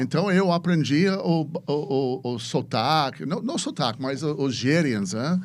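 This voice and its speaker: A man with an English accent, fairly high-pitched, at a fairly slow pace with lively intonation and hardly any pauses. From US, Chicago. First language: English (speaking Portuguese). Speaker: venture capitalist. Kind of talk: podcast interview. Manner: halting, many repetitions.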